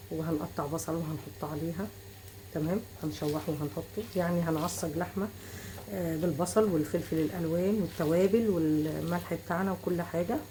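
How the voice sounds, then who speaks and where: A woman with an Egyptian accent and a fairly low pitch speaks at a moderate pace with lively intonation over noticeable background noise. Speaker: cooking channel host. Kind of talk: cooking tutorial. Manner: casual.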